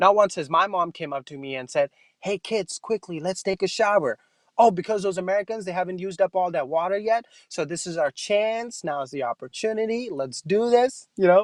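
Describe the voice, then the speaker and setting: Talking at a fairly quick pace with a non-native accent, a man uses a high pitch and lively intonation, recorded with a dry, close sound with no echo. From Pakistan. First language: not English. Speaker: stand-up comedian. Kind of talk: stand-up.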